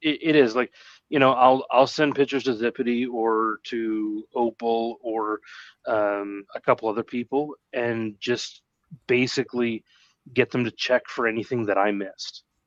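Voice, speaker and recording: With a Canadian accent, a man has an ordinary speaking voice at a medium pitch, talking at a moderate pace with fairly even intonation in a dry, close sound with no echo. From Canada. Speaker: streaming guest, decoy. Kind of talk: casual chat. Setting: live stream.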